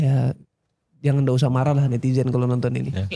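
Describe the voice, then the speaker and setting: The speaker is male. There is a somewhat breathy quality to his voice. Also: dry, close sound with no echo. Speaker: singer. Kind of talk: casual chat. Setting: studio.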